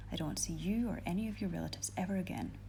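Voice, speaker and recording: A soft-spoken voice at a very fast pace, with a Scottish accent. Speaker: ASMR reader. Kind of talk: reading aloud.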